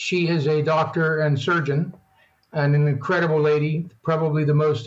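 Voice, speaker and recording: This man talks at a fairly quick pace in a fairly high pitch, with an American accent. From western Maryland, US (Allegany County area). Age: 70s. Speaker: retired accountant and world traveler. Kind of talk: interview. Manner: halting.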